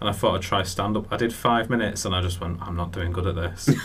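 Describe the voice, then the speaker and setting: The speech goes by at a very fast pace with ordinary pitch variation. Noticeable background noise runs underneath. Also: man. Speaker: comedian and author, radio guest.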